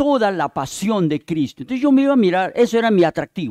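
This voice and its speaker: With a Peruvian accent, a man's voice swings very widely in pitch, the sound dry and close with no echo. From Peruvian Amazon (Yurimaguas, Pucallpa), then Lima from 14. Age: 60s. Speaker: visiting preacher. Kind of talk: sermon.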